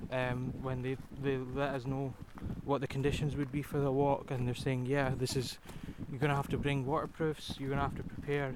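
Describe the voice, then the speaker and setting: With a Scottish accent, a man talks at a fairly quick pace in a medium pitch, his intonation monotone and flat. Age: 20s. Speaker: volunteer walker. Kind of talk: casual interview. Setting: outdoors on a forest walk.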